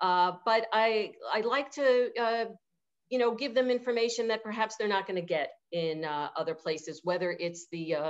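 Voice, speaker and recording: A woman speaks with a New York accent. Her pitch is fairly high. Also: lively intonation, moderate pace, quiet background. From New York City (Manhattan). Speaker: event venue owner. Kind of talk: interview. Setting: video call. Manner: halting, many fillers.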